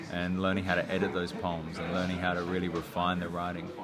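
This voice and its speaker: Music plays behind a man with an Australian accent. His very deep, low voice holds a monotone, flat intonation. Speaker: slam poet, hip-hop artist. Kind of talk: interview answer. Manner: casual, reflective.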